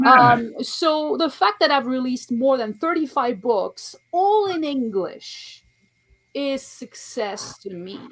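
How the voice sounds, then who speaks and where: Very slowly and in a French accent, a woman speaks at a high pitch with very wide pitch swings and big swings in loudness. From France. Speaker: author and poet. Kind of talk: interview.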